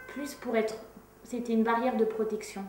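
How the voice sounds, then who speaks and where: Amid noticeable background noise and audible room echo, a woman talks at a fairly quick pace and a fairly high pitch. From France. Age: 30s. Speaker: activist. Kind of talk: interview testimony. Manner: hesitant, many fillers.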